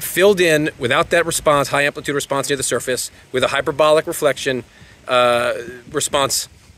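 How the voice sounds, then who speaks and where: Someone speaks at a fairly quick pace in a bright, sharp tone, recorded dry with no echo. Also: man. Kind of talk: tutorial. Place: street. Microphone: phone near.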